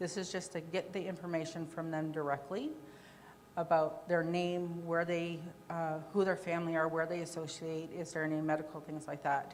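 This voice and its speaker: With audible room echo, a woman speaks at a moderate pace in a fairly low pitch with monotone, flat intonation. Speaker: conference presenter on victim services. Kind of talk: presentation with Q&A.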